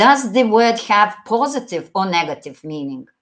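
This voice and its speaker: Against a quiet background, a woman with a Lithuanian accent talks at a fairly slow pace with lively intonation. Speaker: English teacher. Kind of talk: online exam-prep lecture. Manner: halting, with fillers.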